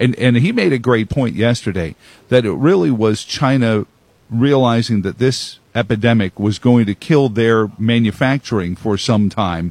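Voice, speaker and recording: A man speaks in an ordinary speaking voice at a medium pitch, with ordinary pitch variation and a moderate pace. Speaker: radio host. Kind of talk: radio interview. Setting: broadcast row at a conference.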